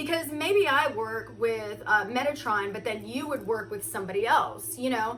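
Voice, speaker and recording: A woman talks at a moderate pace with hardly any pauses, her voice carrying audible room echo over noticeable background noise. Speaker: spiritual content creator. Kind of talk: casual chat. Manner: halting.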